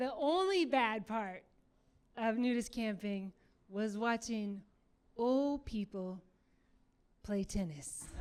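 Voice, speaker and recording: Pausing long and often, a woman with an American accent talks at a very slow pace in a fairly high voice with lively intonation. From Michigan, US. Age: middle-aged. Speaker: stand-up comedian. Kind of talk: stand-up comedy set. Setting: comedy club stage.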